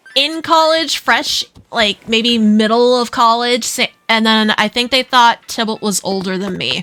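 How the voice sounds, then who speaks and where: Fairly high-pitched, a woman speaks in a dry, close sound with no echo. Music plays behind her. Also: ordinary pitch variation, fairly slow pace. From Netherlands. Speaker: video game streamer. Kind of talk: casual live-stream chat.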